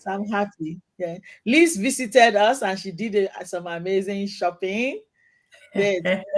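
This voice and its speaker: A fairly slow pace with big swings in loudness and ordinary pitch variation. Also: woman, medium pitch for a woman. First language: not English. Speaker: talk show host and boutique owner. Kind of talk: casual chat. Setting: live online video show.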